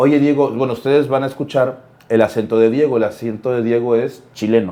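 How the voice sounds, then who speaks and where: A man speaks at a fairly quick pace in a medium pitch. His tone is dark and mellow, with fairly even intonation. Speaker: podcast host. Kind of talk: interview.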